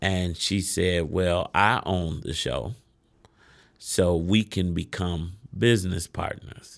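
This man talks at a very slow pace with an American accent, his pitch very deep and low and his intonation fairly even. The recording is very clean, with a silent background. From Chicago west side. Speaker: business owner and CEO. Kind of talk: interview.

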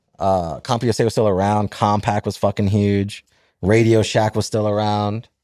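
Very even loudness from a man with an American accent at a moderate pace, on a very clean recording with a silent background. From Florida. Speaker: podcast co-host. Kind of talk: casual chat. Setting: studio.

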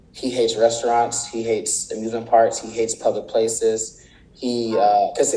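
Noticeable noise sits in the background. A man with an American accent talks at a very fast pace. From Los Angeles area, California (Palmdale). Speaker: nursing student. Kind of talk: casual interview. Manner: halting, many fillers.

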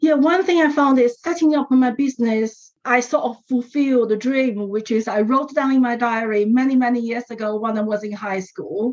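This woman talks at a moderate pace in a Chinese accent, barely pausing. Her pitch is high and varies in an ordinary way. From China. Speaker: education entrepreneur. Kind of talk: interview.

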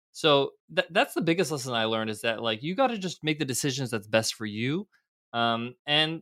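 A man talks very fast with lively intonation in a dry, close sound with no echo. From United States. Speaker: entrepreneur. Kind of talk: interview. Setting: video call.

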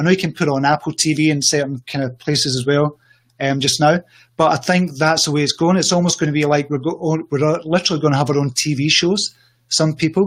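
With a Scottish accent, a man talks at a fairly quick pace. His pitch is fairly high and his intonation fairly even. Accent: Scottish, noted by listener as appealing. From Scotland. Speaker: social media entrepreneur and coach. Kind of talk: interview on a livestream show. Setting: livestream video call.

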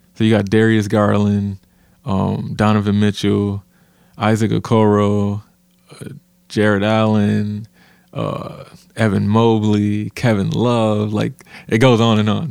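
On a very clean recording with a silent background, a man's dark, mellow, fairly low-pitched voice stays monotone and flat. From Flint, Michigan. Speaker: basketball podcast co-host. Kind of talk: casual chat.

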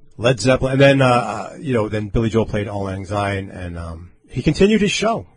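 Talking at a fairly quick pace with hardly any pauses, a man uses ordinary pitch variation over noticeable background noise. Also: fairly low pitch for a man. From Long Island, New York. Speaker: radio host. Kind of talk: casual chat. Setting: studio. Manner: animated.

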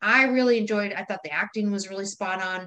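A woman with an unremarkable speaking voice talks at a fairly quick pace in an American accent. Her pitch is medium, and her intonation is lively. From US Midwest, Wisconsin. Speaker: podcast co-host. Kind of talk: casual chat.

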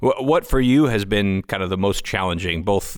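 On a very clean recording with a silent background, a man speaks in a fairly low pitch with an unremarkable speaking voice. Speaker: podcast host. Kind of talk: interview, conversational.

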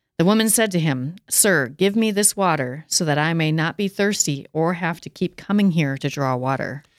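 A woman with a fairly low pitch and an unremarkable speaking voice talks at a moderate pace with lively intonation and hardly any pauses. The sound is dry and close with no echo, on a very clean recording with a silent background. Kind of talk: casual discussion, reading scripture aloud.

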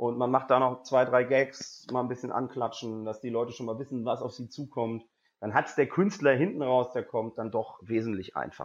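In a quiet background, a man talks at a moderate pace with medium pitch and ordinary pitch variation. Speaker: stand-up comedian and presenter. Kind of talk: interview. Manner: extroverted, lively.

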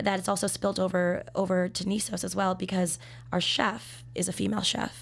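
In a very clean recording with a silent background, a woman with an American accent talks at a moderate pace. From Minnesota. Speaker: sommelier. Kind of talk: casual interview. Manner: talkative; laughs often.

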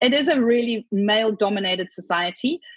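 With a South African accent, a woman speaks at a fairly high pitch with lively intonation, her sound dry and close with no echo. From Zimbabwe. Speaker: author. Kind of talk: casual interview chat.

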